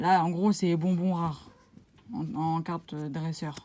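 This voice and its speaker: At a very slow pace, a woman speaks with a dark, mellow tone and a fairly low pitch. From France. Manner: pronouncing English words with poor command.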